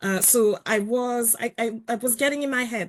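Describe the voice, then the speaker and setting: The speaker moves at a moderate pace with ordinary pitch variation. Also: woman. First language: not English. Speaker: journalist and columnist. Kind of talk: webinar panel discussion. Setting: online webinar.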